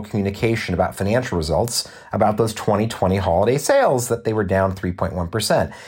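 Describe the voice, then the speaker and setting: With noticeable background noise behind him, a man talks in a Californian accent. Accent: Californian American English. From Southern California. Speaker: podcast host and business school lecturer. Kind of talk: solo podcast monologue.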